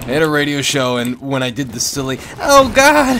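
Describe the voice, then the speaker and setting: Fairly high male voice at a moderate pace, ordinary pitch variation, noticeable background noise. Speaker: online gamer. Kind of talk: casual gaming chat.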